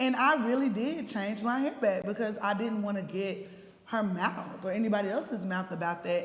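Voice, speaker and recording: A woman's speech, at a moderate pace with ordinary pitch variation, comes with noticeable background noise and audible room echo. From East Texas. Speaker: panelist. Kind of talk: panel discussion.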